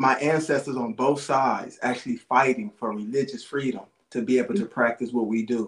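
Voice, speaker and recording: The man has an unremarkable speaking voice of medium pitch. He moves at a fairly quick pace with ordinary pitch variation. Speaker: podcast host and priest. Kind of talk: casual podcast conversation.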